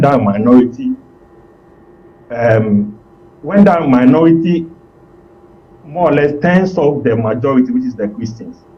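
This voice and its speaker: A man speaks at a moderate pace and medium pitch, with lively intonation. Long, frequent pauses break up his speech over noticeable background noise. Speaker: political analyst. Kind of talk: TV political discussion.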